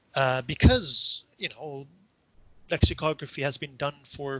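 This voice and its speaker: Speaking at a moderate pace with a Dutch accent, a man uses a fairly high pitch and ordinary pitch variation. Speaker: professor. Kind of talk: interview. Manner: hesitant, many fillers.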